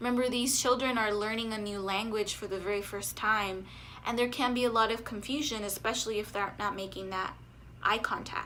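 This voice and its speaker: A woman with a slight Spanish accent speaks fairly quickly in a fairly high, bright, sharp voice. Her intonation stays fairly even, and room echo can be heard. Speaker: speech therapist. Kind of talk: educational vlog. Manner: conversational.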